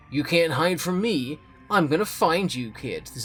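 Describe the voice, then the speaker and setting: Putting on a growling character voice, a man speaks at a moderate pace in a high pitch with lively intonation, as faint music plays in the background. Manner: angry, threatening.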